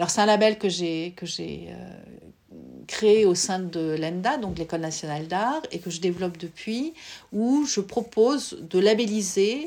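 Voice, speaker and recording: Very slowly and with vocal fry, a woman speaks at medium pitch with lively intonation. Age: 50s. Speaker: visual artist, former psychoanalyst. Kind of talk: interview. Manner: hesitant, with frequent fillers.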